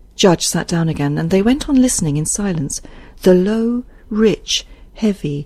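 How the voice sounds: A natural reading voice is heard here. The intonation is lively.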